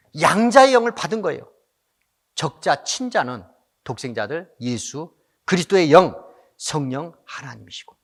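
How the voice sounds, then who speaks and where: This man's high voice swings very widely in pitch and sharply in loudness as he talks at a fairly slow pace, leaving long, frequent pauses. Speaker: pastor. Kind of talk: sermon. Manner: impassioned, exhorting.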